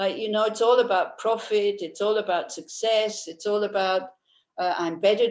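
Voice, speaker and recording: At a moderate pace, a woman speaks with a Swiss accent. Her medium pitch holds a fairly even intonation. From Switzerland. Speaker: Buddhist teacher. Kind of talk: dharma talk. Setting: video call.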